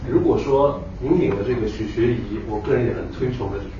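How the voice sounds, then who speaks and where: A man talks at a fairly quick pace, with audible room echo and light background noise around him. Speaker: academic audience member; guest professor lecturer. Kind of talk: audience question. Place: hall.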